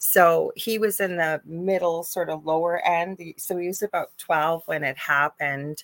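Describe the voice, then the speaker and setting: A woman's fairly low-pitched, normal speaking voice with a Canadian accent, fairly even intonation, a fairly slow pace and hardly any pauses, in a dry, close sound with no echo. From Canada. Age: 50s. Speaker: spiritual medium and nurse. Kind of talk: casual chat.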